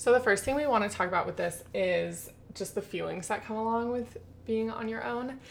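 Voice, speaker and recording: Here is a woman with a plain, everyday voice, fairly high in pitch with ordinary pitch variation. She talks at a fairly quick pace. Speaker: podcast co-host. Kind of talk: casual chat.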